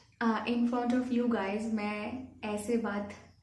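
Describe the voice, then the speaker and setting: With a Bengali accent, a woman speaks in a fairly high pitch and monotone, flat intonation. Audible room echo and noticeable background noise fill the recording. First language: Bengali (speaking Hindi). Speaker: YouTuber. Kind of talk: Q&A vlog. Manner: halting, many fillers.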